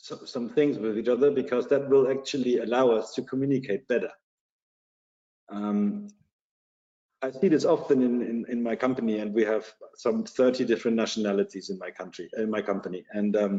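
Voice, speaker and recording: A man speaks with a German accent. His pitch is medium, with ordinary pitch variation. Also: fairly quick pace. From Germany, Bavaria. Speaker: security company executive. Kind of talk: podcast interview. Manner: halting, many repetitions.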